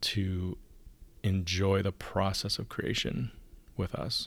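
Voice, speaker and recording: Very slow and quiet, a man speaks at a fairly low pitch. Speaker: podcast host. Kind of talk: solo podcast monologue. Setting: home recording. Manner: hushed; monotone.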